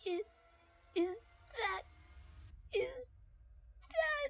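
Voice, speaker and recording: In a put-on character voice, a female-sounding speaker hits an extremely high pitch for a woman. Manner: desperate, pleading.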